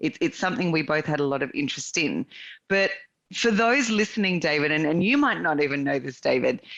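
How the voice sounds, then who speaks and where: Speaking with an Australian accent, a woman lets her pitch swing very widely. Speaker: real estate investor and consultant. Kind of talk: podcast interview.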